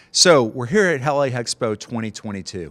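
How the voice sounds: A man's fairly bright voice at a fairly quick pace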